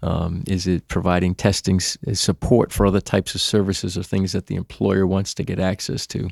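A man with a Boston accent, very deep and low-pitched, fairly even in intonation, in a dry, close sound with no echo. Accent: Boston, northern US. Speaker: employee benefits consultant. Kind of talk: casual interview chat.

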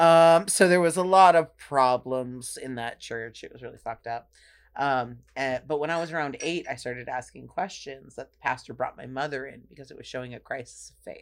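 Moderate pace with hardly any pauses, on a very clean recording with a silent background. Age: 30s. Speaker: drag king and performance artist. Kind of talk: casual chat. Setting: studio.

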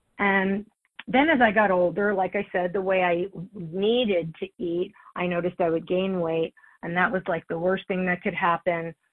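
Moderate pace from a woman with an unremarkable speaking voice, medium pitch and fairly even intonation. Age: 60s. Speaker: recovery meeting speaker. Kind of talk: testimony. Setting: phone call.

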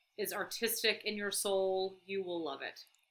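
The tone is bright and sharp, with a slight Southern US accent. The pace is moderate. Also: woman. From Atlanta, Georgia. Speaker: brewery events coordinator. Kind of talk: casual chat.

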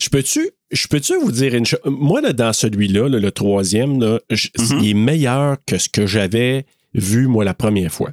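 A man's medium-pitched, animated voice in a Quebec accent, at a fairly slow pace with ordinary pitch variation, very even loudness, dry, close sound with no echo and a very clean recording with a silent background. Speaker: podcast co-host. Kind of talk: casual chat.

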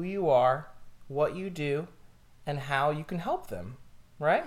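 A man speaks at a fairly slow pace with a fairly high pitch. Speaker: real estate agent and podcast host. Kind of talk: casual chat over wine, podcast. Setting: studio podcast, drinking wine. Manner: chatty, joking, easygoing.

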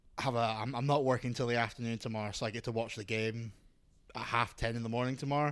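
A man with a Scottish accent speaks very fast in a flat monotone at a medium pitch, captured in a very clean recording with a silent background. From Scotland. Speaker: radio DJ. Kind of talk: casual chat.

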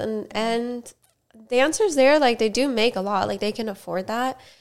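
A woman with an American accent has an ordinary speaking voice, pitched fairly high with ordinary variation. She speaks at a moderate pace in a very clean recording with a silent background. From Miami, Florida. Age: 20s. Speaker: podcast host, stunt rider and dancer. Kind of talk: casual chat. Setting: recorded on camera.

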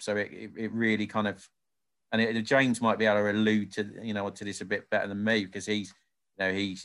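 The speaker is a man with a fairly low pitch. His intonation is monotone and flat. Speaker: social enterprise lead at day centre. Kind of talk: casual interview chat. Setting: video call. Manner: hesitant, repeats words.

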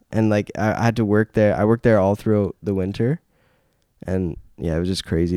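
The voice has a dark, mellow tone and fairly even intonation, with a Canadian accent. The recording is very clean with a silent background. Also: man. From Canada (Timmins, northern Ontario). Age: 20s. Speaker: singer-songwriter. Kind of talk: casual chat.

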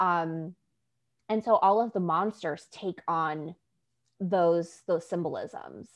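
Speech comes at a very slow pace with long, frequent pauses and ordinary pitch variation over a quiet background. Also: woman. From New York. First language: Spanish. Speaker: YA author, co-host. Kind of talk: casual chat.

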